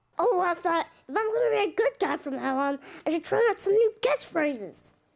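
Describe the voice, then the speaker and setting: Squeaky and extremely high-pitched, a woman performs a put-on character voice. Her pace is fairly quick. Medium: machinima. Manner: enthusiastic, overeager.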